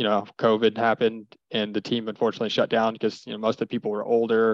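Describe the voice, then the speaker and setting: Very fast and with monotone, flat intonation, a man speaks. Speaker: beatball player. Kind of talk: casual chat.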